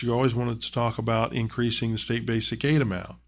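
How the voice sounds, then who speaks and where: A man with a Southern Ohio accent, medium pitch, fairly quick pace. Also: very clean recording, silent background. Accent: Southern Ohio accent, noticeable. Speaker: school district treasurer. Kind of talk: public meeting presentation. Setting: board meeting. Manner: halting, many fillers.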